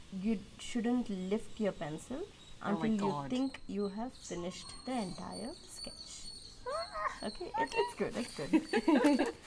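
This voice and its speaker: Her pitch is fairly high and swings very widely. The woman speaks at a very slow pace. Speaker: nature illustrator. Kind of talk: guided drawing instruction.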